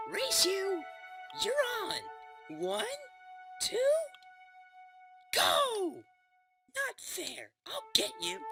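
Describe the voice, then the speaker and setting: A put-on character voice at a very slow pace, with long, frequent pauses and faint music in the background. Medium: machinima. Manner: cheeky.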